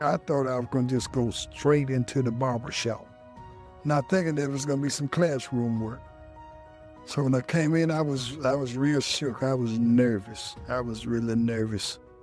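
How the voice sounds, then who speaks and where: A man speaks with an American accent and ordinary pitch variation. Music plays in the background. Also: medium pitch for a man, moderate pace. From Melbourne, Australia, then North Carolina. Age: 60s. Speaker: Vietnam veteran, barber student. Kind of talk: interview answer. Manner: casual, conversational.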